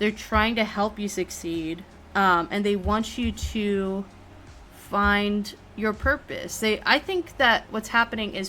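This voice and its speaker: A woman with an American accent at medium pitch, a fairly slow pace and ordinary pitch variation, with music in the background. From United States. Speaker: tarot reader and streamer. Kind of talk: live-streamed tarot reading. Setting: live stream with chat. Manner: casual with many fillers.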